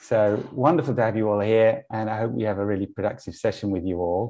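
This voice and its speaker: A dark, mellow tone comes through against a quiet background. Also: man. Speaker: online event host. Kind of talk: event hosting introduction. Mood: warm, upbeat. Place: home room. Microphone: earbuds.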